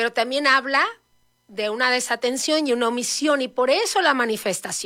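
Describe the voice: A woman's high voice with a bright, sharp tone, moderate pace and ordinary pitch variation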